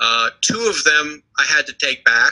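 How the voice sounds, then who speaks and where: The audio is close and dry, without any echo. A man does the talking. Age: 60s. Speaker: private lender. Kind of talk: interview. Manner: halting.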